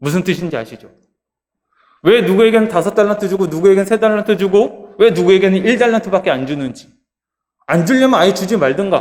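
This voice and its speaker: A man's high-pitched voice, with ordinary pitch variation, goes along at a fairly quick pace. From Jeolla region, South Korea. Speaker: pastor. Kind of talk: sermon.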